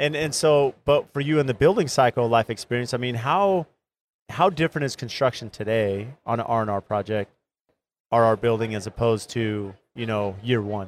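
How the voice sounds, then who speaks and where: A man with a normal speaking voice, medium pitch and a moderate pace. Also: ordinary pitch variation. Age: 40s. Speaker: construction podcast host and builder. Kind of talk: casual interview chat. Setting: live recording at trade show booth.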